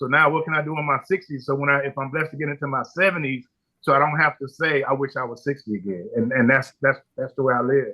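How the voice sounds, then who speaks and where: A man talks at a very fast pace with a fairly high pitch. His pitch varies in an ordinary way. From Compton, Los Angeles, US. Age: 60s. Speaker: barbecue pitmaster and restaurateur. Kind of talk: podcast interview. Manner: animated storytelling with frequent repetitions.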